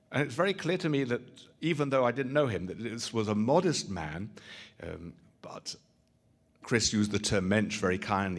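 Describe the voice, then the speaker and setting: A man with a strong British accent and lively intonation. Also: very clean recording, silent background. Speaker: rabbi, interfaith lecturer. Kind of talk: public lecture.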